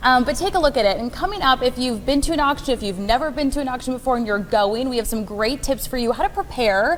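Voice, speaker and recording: Noticeable background noise runs behind a woman with a high pitch. She talks at a very fast pace with lively intonation. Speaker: TV reporter. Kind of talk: TV news interview.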